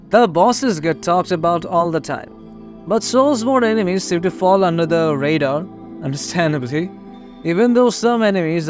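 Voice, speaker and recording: With music in the background, a fairly high-pitched man speaks at a moderate pace with lively intonation. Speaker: gaming video essayist. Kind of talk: casual game lore video narration.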